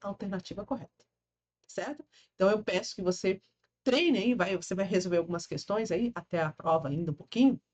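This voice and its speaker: In a dry, close sound with no echo, a woman speaks with an animated tone and a somewhat breathy voice. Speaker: law teacher for public exams. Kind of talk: lecture.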